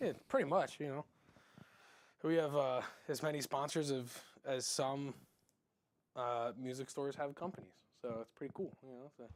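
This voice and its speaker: A man at fairly high pitch, fairly even intonation and long, frequent pauses. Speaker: music store live stream host. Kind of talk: casual live stream product show. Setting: in-store stage, live stream. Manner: fast; stumbling, tongue-tied at times.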